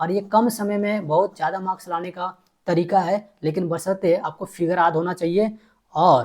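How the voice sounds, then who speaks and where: A man with a high pitch and fairly even intonation speaks at a moderate pace on a very clean recording with a silent background. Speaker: teacher. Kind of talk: tutorial; casual outro to viewers.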